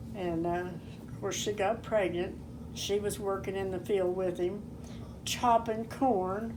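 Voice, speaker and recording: A woman with an American accent speaks at a medium pitch with ordinary pitch variation. Audible room echo surrounds her voice. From southeast Kansas. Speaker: elderly family member telling life story. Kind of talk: oral history interview. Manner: halting.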